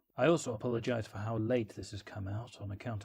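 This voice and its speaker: A man talks at a fairly quick pace in a flat monotone. His fairly low voice is somewhat breathy. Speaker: worldbuilding video creator. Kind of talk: casual vlog monologue. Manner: quiet low voice; hesitant.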